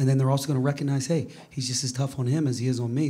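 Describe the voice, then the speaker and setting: A man's somewhat breathy, dark and mellow voice at medium pitch, very fast and monotone with flat intonation, with audible room echo. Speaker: college basketball head coach. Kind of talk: press conference.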